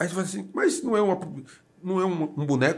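This man's delivery is fairly quick, and his pitch varies in an ordinary way. There is a somewhat breathy quality to his voice. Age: 60s. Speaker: city councillor. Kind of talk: casual interview. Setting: studio, broadcast live on radio and video.

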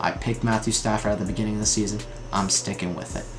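Noticeable background noise runs under the speech. The intonation stays fairly even, and room echo is audible. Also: man. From New York. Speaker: sports podcast host. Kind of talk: solo sports talk monologue. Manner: casual, frequent filler words.

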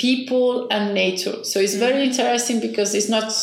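Heard with audible room echo, a woman speaks at a fairly high pitch with fairly even intonation. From Spain, Barcelona. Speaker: NGO director, biologist. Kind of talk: interview. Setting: small office.

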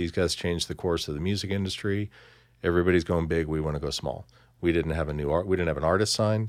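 On a very clean recording with a silent background, a man with an American accent talks very fast in a very deep, low voice with fairly even intonation. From central Missouri, US. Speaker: music industry executive. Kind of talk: interview conversation. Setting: studio.

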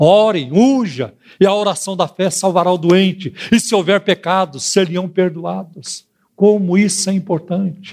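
High pitch and ordinary pitch variation from a man. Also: fairly slow pace. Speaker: pastor and radio host. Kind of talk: radio sermon.

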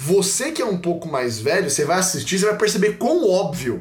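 Room echo can be heard. Pitch variation is ordinary. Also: man. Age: young. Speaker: church content producer. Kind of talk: casual chat. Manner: casual slang-filled.

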